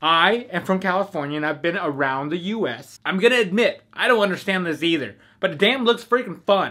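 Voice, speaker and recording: Lively intonation, a bright, sharp tone, and a raised, projected voice at a fairly quick pace over a quiet background. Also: man. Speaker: car vlogger. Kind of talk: casual vlog commentary.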